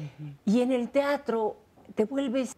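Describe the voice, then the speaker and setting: At a fairly slow pace, a woman speaks with a dark, mellow, somewhat breathy tone. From Mexico. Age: 70s. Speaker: actress. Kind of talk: interview. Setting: at her home. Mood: warm, thoughtful, sometimes laughing. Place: home room.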